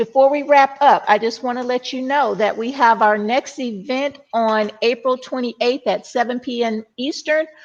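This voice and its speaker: With an American accent, a woman speaks at a fairly slow pace, her high pitch showing ordinary pitch variation. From US South, Mississippi. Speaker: panel moderator. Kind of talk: panel moderation.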